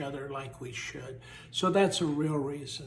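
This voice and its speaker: Noticeable background noise accompanies a man talking at a fairly slow pace. His pitch is fairly high. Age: 70s. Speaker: leadership author and trainer. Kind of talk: personal appeal to camera. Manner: hesitant, with filler sounds.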